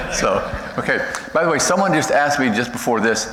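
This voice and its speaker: Speaking at a fairly quick pace with lively intonation and an American accent, this voice comes through noticeable background noise and audible room echo. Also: man. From United States. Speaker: missionary. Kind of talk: missionary presentation. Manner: fast when excited; halting, many fillers and restarts.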